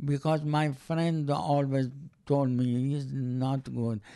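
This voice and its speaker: A man's fairly high-pitched, dark, mellow voice with a Persian accent, at a very slow pace. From Iran. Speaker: interviewee, host's father. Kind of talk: casual chat. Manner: halting.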